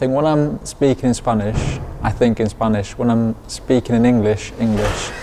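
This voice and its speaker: Loudness stays very even against noticeable background noise. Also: man, medium pitch for a man, fairly even intonation, moderate pace. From Lanzarote, Spain (English parents). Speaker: professional boxer. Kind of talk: interview.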